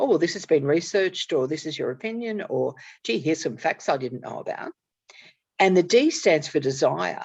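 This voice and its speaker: Here is a woman with an Australian accent. She speaks at a moderate pace. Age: 60s. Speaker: author and networking strategist. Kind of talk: casual conversation.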